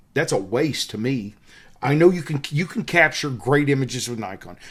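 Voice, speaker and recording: Speaking with a Southern US accent, a man keeps a moderate pace and an animated tone, his pitch medium with ordinary variation. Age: 50s. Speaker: wildlife photographer and workshop leader. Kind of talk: tutorial. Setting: hotel room.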